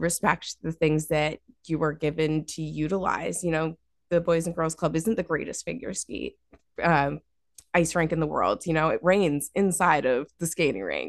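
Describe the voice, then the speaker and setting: A woman with an American accent talks at a fairly slow pace in a plain, everyday voice, fairly low in pitch with ordinary pitch variation. The sound is dry and close with no echo, over a quiet background. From US Northeast, Massachusetts Berkshires (Dalton). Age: 20s. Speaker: cannabis photographer and marketer. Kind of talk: interview conversation.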